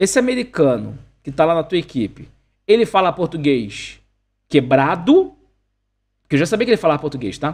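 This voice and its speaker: A man at a moderate pace, fairly high-pitched with vocal fry, an animated tone and very wide pitch swings. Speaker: English teacher and coach. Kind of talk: online class.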